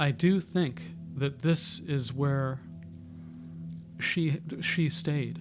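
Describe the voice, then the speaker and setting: With an American accent, a man speaks in a somewhat breathy voice at a fairly high pitch, making very wide pitch swings. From New York City. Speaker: YouTuber. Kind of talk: casual monologue. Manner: halting.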